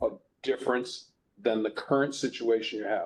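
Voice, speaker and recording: At a fairly quick pace, a man talks in an ordinary speaking voice, keeping his intonation fairly even. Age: 60s. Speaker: review board member. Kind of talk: public hearing. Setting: hearing room, video conference.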